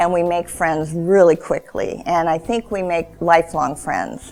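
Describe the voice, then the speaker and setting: A woman is speaking. She has an American accent. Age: 60s. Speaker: cancer patient. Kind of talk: testimony. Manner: hesitant, many fillers.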